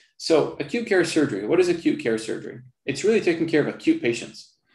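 Very fast male speech in a room with audible echo and a quiet background. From Palestine (Jerusalem); Palestine. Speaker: surgeon; presenter. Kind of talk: lecture. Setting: video call. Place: home room. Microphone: video call.

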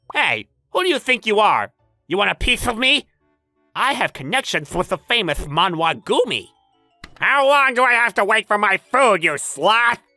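A man speaks in a high, raised and projected voice with very wide pitch swings and very even loudness. The sound is dry and close with no echo, and faint music plays in the background. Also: moderate pace. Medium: fan dub. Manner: aggressive, taunting, loud.

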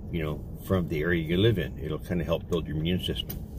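Noticeable background noise behind a man's dry, echo-free voice. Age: old. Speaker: paranormal investigator and vlogger. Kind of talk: casual vlog talk to camera. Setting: outdoors in garden and greenhouse. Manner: halting, many fillers and repeats. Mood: relaxed, friendly.

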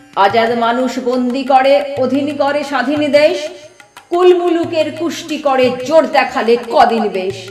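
A woman's high-pitched voice with ordinary pitch variation, music in the background. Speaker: poetry reciter. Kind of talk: poetry reading. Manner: rousing, martial.

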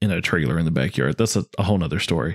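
A man with an American accent speaks with lively intonation and vocal fry in a dry, close sound with no echo. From US South. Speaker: podcast co-host. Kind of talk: casual chat.

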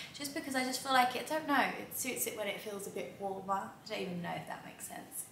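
A very fast-talking woman amid audible room echo and light background noise. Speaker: lifestyle vlogger. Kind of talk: casual vlog chat. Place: home room. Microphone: camera far.

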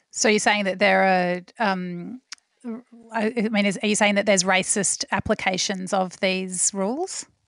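This woman has an Australian accent and a medium pitch. She talks at a fairly slow pace with fairly even intonation. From Australia, Melbourne. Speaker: podcast host and food journalist. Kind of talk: interview.

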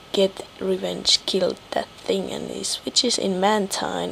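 A woman talks fairly slowly while noticeable noise sits in the background. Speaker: gaming commentator. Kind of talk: game commentary narration. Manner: low-energy; casual.

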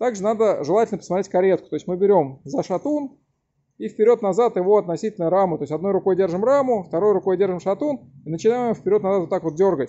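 A man speaks very fast in a high pitch, with ordinary pitch variation. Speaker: bicycle mechanic. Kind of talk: tutorial. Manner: loud. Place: workshop. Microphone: phone near.

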